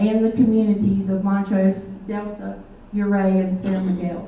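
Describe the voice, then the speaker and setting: A woman's medium-pitched voice in a Southern US accent, monotone and flat, at a fairly slow pace, with audible room echo and noticeable background noise. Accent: Southern US (Georgia). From US South, Middle Georgia. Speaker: army veteran, nonprofit director. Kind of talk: public talk. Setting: meeting hall with audience.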